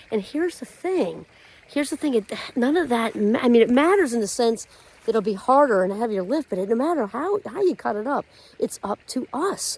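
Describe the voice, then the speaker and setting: Speaking at a fairly quick clip, a woman with a high pitch sounds animated, her pitch swinging very widely. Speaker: mindset coach. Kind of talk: casual vlog monologue. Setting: outdoors in the woods. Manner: stuttering a little from excitement.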